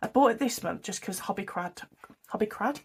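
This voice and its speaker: With a British accent, a woman of medium pitch speaks with ordinary pitch variation. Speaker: budgeting vlogger. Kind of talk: casual talk to camera. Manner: chatty, rambling.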